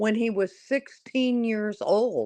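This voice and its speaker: Over a quiet background, a woman with a fairly high pitch speaks at a very slow pace. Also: dry, close sound with no echo. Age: 60s. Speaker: caller on a live stream. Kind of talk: casual chat.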